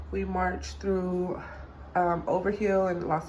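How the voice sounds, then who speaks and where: Over noticeable background noise and audible room echo, a woman speaks at medium pitch. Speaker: doula vlogger. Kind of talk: casual vlog. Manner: energetic.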